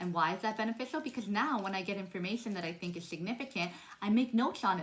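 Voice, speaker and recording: A woman rattles along at a very fast pace, her medium pitch showing ordinary pitch variation while noticeable background noise carries on. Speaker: spiritual vlogger. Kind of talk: casual monologue. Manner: stumbling, restarts words.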